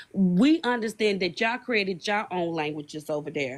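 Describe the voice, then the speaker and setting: A woman with a Southern US accent speaks at a fairly quick pace with ordinary pitch variation. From US South. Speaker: live stream guest. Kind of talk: heated discussion.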